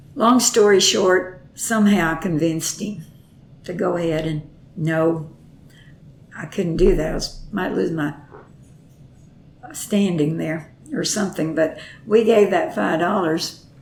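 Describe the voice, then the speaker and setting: A woman's fairly low voice with a Texan accent, at a fairly slow pace with long, frequent pauses and ordinary pitch variation, amid noticeable background noise and audible room echo. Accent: Texas Southern. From Texas. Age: 80s+. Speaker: grandmother interviewed about her life. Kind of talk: oral history interview. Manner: halting.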